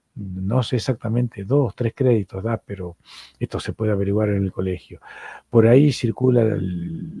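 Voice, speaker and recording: Somewhat breathy and dark, mellow in tone, a man speaks in an Argentine accent at a moderate pace. His pitch is medium with ordinary variation, and the sound is dry and close, with no echo. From Argentina. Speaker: psychoanalyst and lecturer. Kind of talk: lecture.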